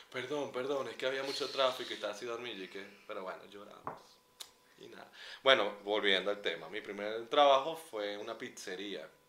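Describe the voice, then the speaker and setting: Noticeable background noise and audible room echo surround a man at a medium pitch with ordinary pitch variation. He talks at a fairly quick pace with big swings in loudness. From Venezuela, San Cristóbal (Andes). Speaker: podcast co-host, publicist. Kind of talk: casual chat. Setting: outdoors at a concert.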